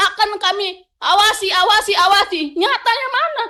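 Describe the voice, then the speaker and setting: Projecting her raised voice at an extremely high pitch, a woman speaks at a moderate pace in a bright, sharp tone with ordinary pitch variation. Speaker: labor union representative. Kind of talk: testimony at parliamentary hearing. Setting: parliamentary committee hearing. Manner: loud; emotional, halting.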